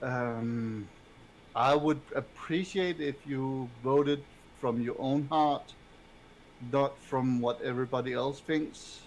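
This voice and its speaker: This man talks at a very slow pace and a medium pitch. His intonation is fairly even, broken by long, frequent pauses. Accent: non-native. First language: not English. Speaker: game master. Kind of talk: casual chat. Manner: halting.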